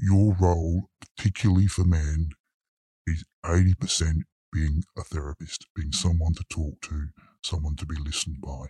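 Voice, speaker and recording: A man with a British accent speaks at a moderate pace in a very deep, low pitch, with a dark, mellow tone that is somewhat breathy and fairly even intonation. The recording is very clean, dry and close, with no echo and a silent background. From UK. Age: 50s. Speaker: lawyer. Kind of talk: interview testimony. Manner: halting.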